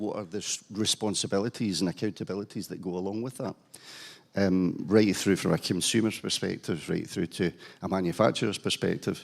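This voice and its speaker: A man with a Scottish accent talks at a fairly quick pace with fairly even intonation. The recording is very clean and the background silent. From Scotland, Glasgow. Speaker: panel moderator, cancer charity chief executive, nurse. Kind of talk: conference panel moderation. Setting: conference hall with audience. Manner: hesitant, many fillers.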